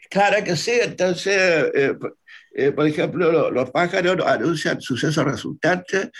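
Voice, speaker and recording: This man speaks with a Chilean accent. His pace is fairly slow and his intonation lively. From southern Chile, Lago Budi. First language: Mapudungun (speaking Spanish). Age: 80s+. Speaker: Mapuche poet and folk teacher. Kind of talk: interview. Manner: halting.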